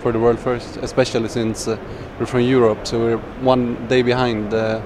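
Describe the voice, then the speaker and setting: Fairly quick, monotone, flat speech from a man with a Swedish accent and medium pitch, over noticeable background noise. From Sweden. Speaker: professional gamer. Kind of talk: interview. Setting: gaming convention.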